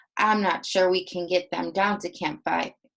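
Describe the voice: A woman does a put-on character voice, shaky and at a medium pitch, at a moderate pace. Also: monotone, flat intonation.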